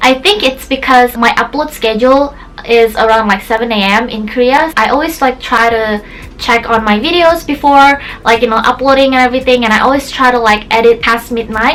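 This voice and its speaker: A woman's high voice in an Indonesian accent, fairly quick in pace, with ordinary pitch variation and music in the background. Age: 20s. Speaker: YouTuber. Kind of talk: casual vlog talk to camera. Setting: her bedroom. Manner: animated.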